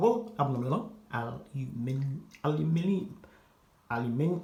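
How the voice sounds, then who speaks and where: A man with an American accent speaks, and some room echo can be heard. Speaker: fashion and gaming vlogger. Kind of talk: casual vlog. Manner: halting, many repetitions and filler words; casual slangy delivery.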